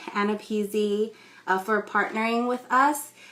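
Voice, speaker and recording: In a West Coast US accent, a woman talks at a fairly slow pace. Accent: General American (West Coast). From California, US. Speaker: ESOL instructor. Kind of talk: live stream talk and storytelling. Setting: Instagram Live stream. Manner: casual with many fillers.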